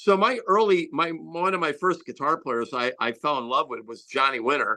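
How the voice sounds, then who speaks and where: Against a quiet background, a man with an American accent talks at a moderate pace in a high, bright, sharp and animated tone. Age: 60s. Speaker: rock guitarist. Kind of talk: interview.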